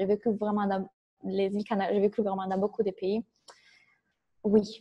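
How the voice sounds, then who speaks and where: A woman speaks in an Italian accent. Her tone is dark and mellow. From Italy. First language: Italian (speaking French). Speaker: business coach. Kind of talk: interview.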